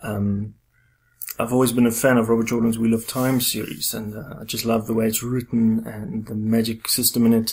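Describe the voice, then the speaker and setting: Medium pitch from a man with a South African accent, monotone and flat, at a moderate pace. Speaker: podcast host, fantasy author. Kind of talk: casual interview chat.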